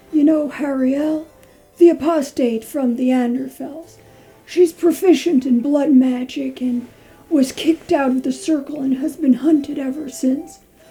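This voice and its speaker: Over music in the background, a woman puts on a high-pitched character voice at a moderate pace. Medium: audio drama.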